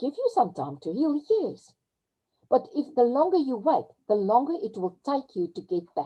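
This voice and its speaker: A woman with a South African accent speaks at a moderate pace in a high pitch that makes very wide swings. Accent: Afrikaans South African English. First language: Afrikaans. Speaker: crypto webinar presenter. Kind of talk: webinar talk. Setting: video call. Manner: halting; animated.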